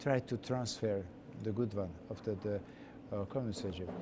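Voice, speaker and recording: A man speaks with a slight Hungarian accent. His medium pitch shows ordinary variation. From Hungary, Budapest. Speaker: chef. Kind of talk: interview. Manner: halting.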